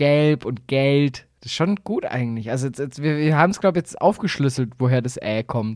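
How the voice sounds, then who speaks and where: A man speaks at a fairly quick pace with hardly any pauses, his pitch fairly high and ordinary in its variation. The recording is very clean against a silent background. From Baden-Württemberg, Swabia (Aalen area). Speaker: podcast co-host. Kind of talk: casual comedic chat.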